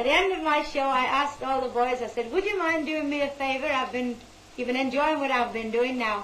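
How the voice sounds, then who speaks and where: A woman with a high pitch and lively intonation speaks against noticeable background noise. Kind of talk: interview answer.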